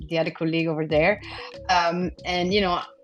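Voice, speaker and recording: A woman's fairly low voice with ordinary pitch variation amid noticeable background noise. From Italy. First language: Italian. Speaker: interior design executive. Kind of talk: panel talk.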